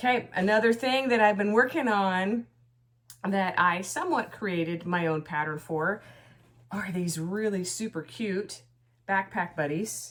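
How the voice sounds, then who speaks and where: On a very clean recording with a silent background, a woman speaks at a fairly slow pace in a medium pitch with lively intonation. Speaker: crochet vlogger. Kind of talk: casual vlog.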